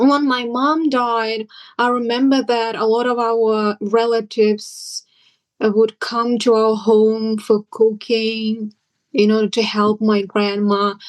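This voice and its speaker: In a Siberian accent, a woman speaks at a very slow pace with a fairly high pitch. Her intonation is monotone and flat, and the background is quiet. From Yakutia, Siberia (Sakha village). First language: Sakha. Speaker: interviewee sharing personal cultural reflections. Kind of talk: personal interview testimony. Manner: hesitant, with many fillers.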